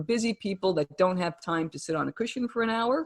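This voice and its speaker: A woman with a New Jersey accent at a fairly quick pace. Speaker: wellness coach and author. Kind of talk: interview.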